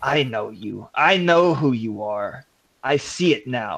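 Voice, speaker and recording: Doing a put-on character voice, a man growls in a guttural medium pitch at a fairly slow pace. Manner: menacing, snarling.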